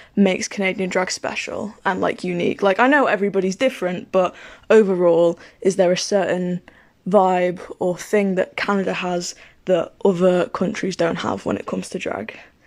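A woman speaks in a medium pitch with a British accent. Her pace is moderate and her intonation fairly even. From Britain. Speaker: podcast listener. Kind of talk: voice message. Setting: recorded voice note.

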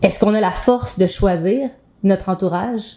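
Speaking at a moderate pace with a Quebec accent, a woman has a dark, mellow tone and a medium pitch, on a very clean recording with a silent background. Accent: Québécois French. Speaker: podcast co-host, yoga instructor. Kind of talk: casual chat.

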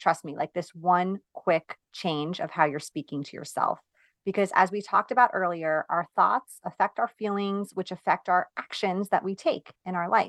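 Speaking at a moderate pace, a woman with an American accent has a normal speaking voice, medium pitch, ordinary pitch variation and big swings in loudness, captured in dry, close sound with no echo over a quiet background. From New York. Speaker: productivity coach for moms. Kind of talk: interview.

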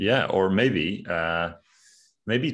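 A very slow-talking man with a Scottish accent and a very deep, low pitch. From Scotland. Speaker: podcast host. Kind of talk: casual chat.

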